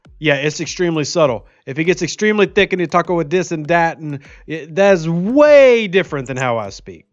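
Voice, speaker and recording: Against a quiet background, a high-pitched man talks at a fairly quick pace with hardly any pauses, his intonation lively and his loudness swinging widely. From Louisiana. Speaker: gaming streamer. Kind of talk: live stream chat. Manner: careful enunciation.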